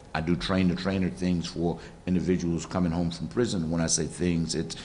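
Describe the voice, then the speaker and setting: At a fairly quick pace, a man with a very deep, low pitch speaks in a monotone, flat intonation, with audible room echo. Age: 60s. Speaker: formerly incarcerated speaker and reentry trainer. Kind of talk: panel forum talk.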